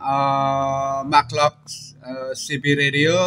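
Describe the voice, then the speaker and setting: A man speaks very slowly with an Indonesian accent, his pitch fairly high. Music plays in the background. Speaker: amateur radio operator. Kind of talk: radio contact exchange. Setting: ham radio transmission. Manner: halting, many fillers.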